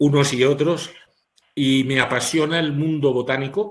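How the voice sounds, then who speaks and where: A man's normal speaking voice at a fairly slow pace, with ordinary pitch variation. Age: 60s. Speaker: physician. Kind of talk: webinar lecture.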